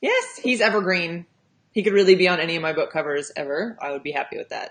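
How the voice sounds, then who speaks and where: With a West Coast US accent, a woman talks at a medium pitch. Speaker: romance author and livestream host. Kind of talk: casual chat. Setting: livestream.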